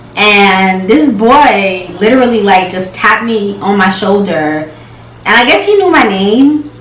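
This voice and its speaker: A woman speaks at a fairly slow pace in a medium pitch, her intonation lively and her tone animated, with audible room echo and noticeable background noise. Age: 20s. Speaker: lifestyle and hair vlogger. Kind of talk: casual Q&A vlog. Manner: animated, chatty.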